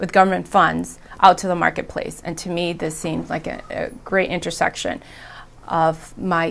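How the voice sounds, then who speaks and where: A woman speaks at a fairly low pitch with vocal fry. Her intonation is monotone and flat, and her pace is moderate. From Providence, Rhode Island (born Dominican Republic). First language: Spanish. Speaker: engineer in technology transfer. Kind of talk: interview testimony.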